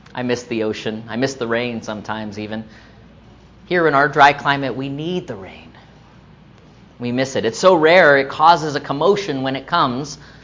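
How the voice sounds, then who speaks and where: Someone with an American accent speaks at a moderate pace, leaving long, frequent pauses. Noticeable background noise sits behind the voice. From US South, South Florida. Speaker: pastor. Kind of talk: sermon.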